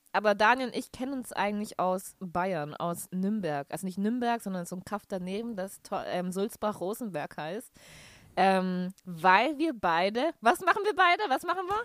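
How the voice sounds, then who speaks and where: At a moderate pace, a woman speaks with lively intonation in an ordinary speaking voice, the sound dry and close with no echo. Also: medium pitch for a woman. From Bavaria, near Nuremberg (Franconia). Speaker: podcast co-host, musical theatre student. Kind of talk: casual chat. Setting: Skype call.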